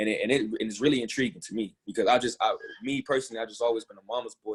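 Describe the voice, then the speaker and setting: A man is speaking here. He goes at a fairly quick pace. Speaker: discussion leader on a group call. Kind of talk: live group call talk. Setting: online group call with chat. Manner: halting, many fillers and repeats; casual, conversational.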